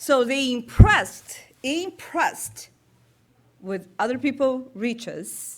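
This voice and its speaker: With a Brazilian Portuguese accent, a woman speaks at a very slow pace in a high pitch that swings very widely. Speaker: spiritist speaker. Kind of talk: talk at a public meeting. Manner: halting.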